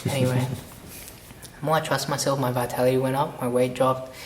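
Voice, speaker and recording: With noticeable background noise and audible room echo, a man speaks at a fairly quick pace in a medium pitch. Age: young. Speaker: copywriter and coach. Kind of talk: casual interview. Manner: fast; animated.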